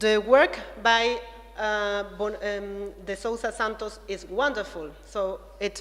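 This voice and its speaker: Noticeable background noise runs beneath a woman speaking at a very slow pace. Her pitch is fairly high and her intonation fairly even. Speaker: researcher, art theorist. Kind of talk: conference talk. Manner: halting, many fillers.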